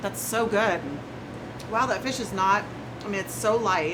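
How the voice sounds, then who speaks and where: Noticeable background noise and audible room echo surround a woman speaking in a medium pitch with an animated tone. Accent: American. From US West Coast, Newport Beach, California. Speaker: food show host. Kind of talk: casual restaurant tasting chat. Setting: restaurant, outdoor sidewalk cafe later.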